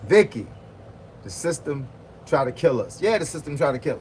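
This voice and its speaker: The pace of the man's speech is fairly quick. His tone is animated. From Virginia (Hampton). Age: 50s. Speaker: boxing and fitness coach. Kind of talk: livestream chat with viewers.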